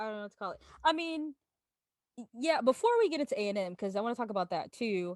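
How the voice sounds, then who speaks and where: A loud woman with an American accent, fairly high in pitch, at a very fast pace, with very wide pitch swings and a dry, close sound with no echo. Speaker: podcast host. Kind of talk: casual chat. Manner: naturally loud.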